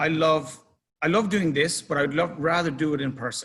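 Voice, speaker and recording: Speaking in an Irish accent, a man is heard. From Ireland. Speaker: club manager. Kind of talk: presentation. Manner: casual.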